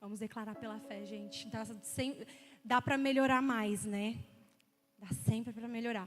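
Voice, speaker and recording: With long, frequent pauses, a woman speaks fairly slowly in a fairly high, somewhat breathy voice, showing ordinary pitch variation and big swings in loudness. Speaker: preacher. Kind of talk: sermon.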